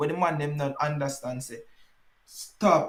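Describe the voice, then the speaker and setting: A man speaks with a Jamaican accent. His pitch is fairly high and his pace moderate. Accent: Jamaican patois. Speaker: dancehall podcast host. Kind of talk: casual chat. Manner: animated.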